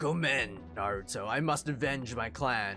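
A man's put-on character voice at a medium pitch, with clear music in the background. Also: moderate pace. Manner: brooding, stoic.

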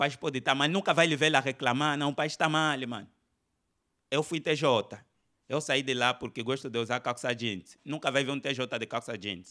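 A man's fairly high, bright and sharp voice, with ordinary pitch variation, a moderate pace and a quiet background. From Angola. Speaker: stand-up comedian. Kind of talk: stand-up comedy routine riffing on religion before a live audience. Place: hall. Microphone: handheld.

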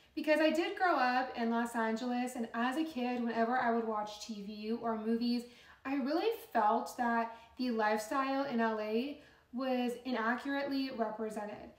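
Woman's high voice with ordinary pitch variation and audible room echo. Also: moderate pace. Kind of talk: casual vlog chat. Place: home room.

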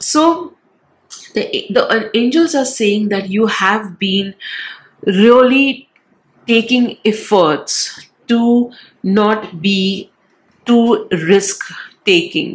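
The voice is somewhat breathy, with lively intonation. Long, frequent pauses break up the speech. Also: woman. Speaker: tarot reader. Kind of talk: tarot reading.

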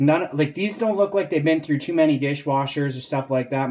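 A man speaks at a moderate pace. His pitch is fairly high and his tone slightly mellow.

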